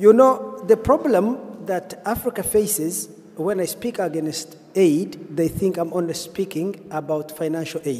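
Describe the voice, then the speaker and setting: A man with a high pitch and lively intonation, at a fairly slow pace, over noticeable background noise. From Uganda. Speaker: journalist. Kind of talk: panel discussion.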